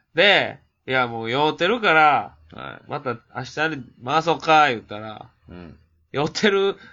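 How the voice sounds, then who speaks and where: In a Kansai accent, a man with a fairly high pitch speaks with lively intonation and big swings in loudness. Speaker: podcast co-host. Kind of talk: casual chat.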